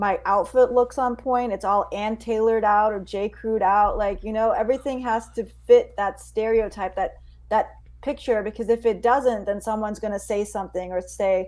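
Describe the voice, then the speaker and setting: She has a plain, everyday voice. The woman's pitch is fairly high, and her speed is moderate. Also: fairly even intonation. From US, immigrant family. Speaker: stand-up comedian and podcast host. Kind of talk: casual discussion.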